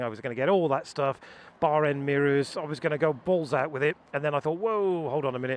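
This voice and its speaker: A man speaks in a fairly high voice with fairly even intonation. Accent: English. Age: 50s. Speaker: motorcycle YouTuber. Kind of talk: owner's review vlog. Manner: casual.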